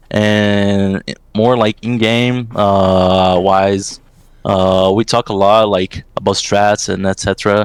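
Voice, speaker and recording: A man with a Portuguese accent talks at a fairly low pitch. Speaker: esports assistant coach. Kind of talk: interview. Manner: halting, many fillers.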